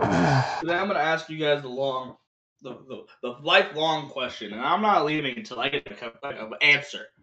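With music in the background, a man with a fairly high pitch speaks at a moderate pace, using lively intonation and big swings in loudness. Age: 20s. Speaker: podcast co-host. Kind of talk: casual chat.

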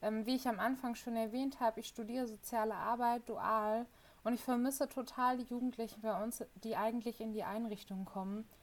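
Her voice sits fairly high. She talks at a moderate speed. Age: 20s. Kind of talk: casual interview. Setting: video call.

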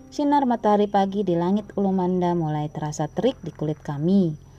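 A woman's fairly low-pitched voice over music in the background. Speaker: podcast host reading a story. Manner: emotional, solemn, expressive, pathos-laden storytelling; formal, poetic, measured literary diction.

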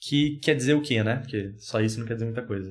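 A man's voice carries audible room echo. His pitch variation is ordinary. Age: 20s. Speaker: podcast guest. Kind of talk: casual chat.

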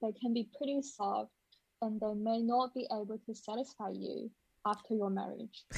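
A woman's fairly high voice with a non-native accent, at a fairly slow pace. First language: not English. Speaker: former escort service receptionist, international student. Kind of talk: casual interview.

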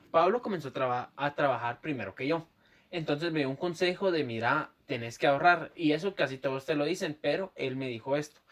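The speaker has a Guatemalan accent and ordinary pitch variation. The pace is fairly quick. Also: man, fairly high pitch for a man. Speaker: podcast co-host. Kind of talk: casual chat.

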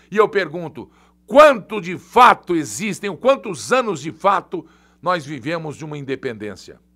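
Here a man with a high voice speaks at a fairly slow pace, his pitch swinging very widely. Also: big swings in loudness. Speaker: journalist and online show host. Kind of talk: live political commentary. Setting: studio, live stream. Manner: animated. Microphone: new heavy microphone.

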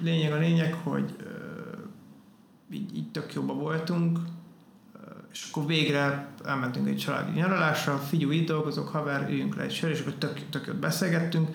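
Audible room echo and noticeable background noise both come through. The man keeps a moderate pace. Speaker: tattoo artist. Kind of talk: casual chat.

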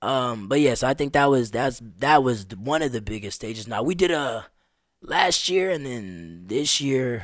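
A man with a plain, everyday voice, medium pitch, at a moderate pace. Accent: American. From Las Vegas, US. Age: 20s. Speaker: street drummer and musician. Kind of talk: casual chat. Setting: studio.

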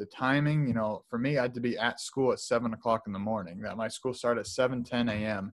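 With a plain, everyday voice, a man speaks at medium pitch and a fairly quick pace. His pitch variation is ordinary, and the recording is very clean with a silent background. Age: 20s. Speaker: holistic lifestyle coach. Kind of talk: interview.

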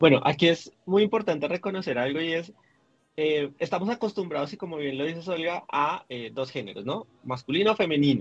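A man with a normal speaking voice and a fairly high pitch talks at a fairly quick pace. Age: 30s. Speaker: LGBTIQ activist, coordinator. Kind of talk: interview conversation.

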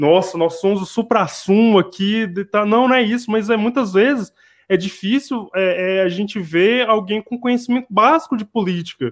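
With a high voice and ordinary pitch variation, a man is talking. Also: moderate pace. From Brazil, interior of Minas Gerais. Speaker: co-host, teacher. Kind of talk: casual discussion podcast.

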